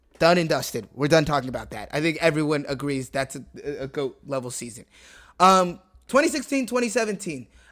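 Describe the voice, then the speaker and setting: On a very clean recording with a silent background, a man talks at a fairly quick pace in a high pitch with lively intonation. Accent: American. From Washington DC area. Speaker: sports YouTuber. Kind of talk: casual commentary video. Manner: fast; halting, many fillers.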